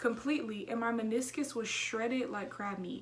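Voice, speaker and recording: A woman talks fairly quickly in an animated tone, her pitch fairly high. Room echo is audible, along with noticeable background noise. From Houston, Texas. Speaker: YouTuber. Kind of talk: casual vlog chat. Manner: fast.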